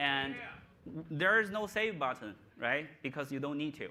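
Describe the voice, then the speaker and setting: The tone is bright and sharp, with a non-native accent. The pace is moderate. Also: man. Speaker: tech company presenter. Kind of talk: live product demo. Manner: casual, halting with fillers.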